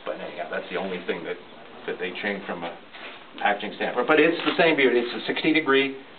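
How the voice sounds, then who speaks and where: Noticeable background noise runs under a man's voice. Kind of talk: interview answer. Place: workshop. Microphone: camera far.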